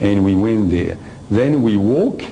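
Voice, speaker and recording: A man with a French accent, amid audible room echo and noticeable background noise. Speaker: lecturer on personal experience. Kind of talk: lecture. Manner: halting.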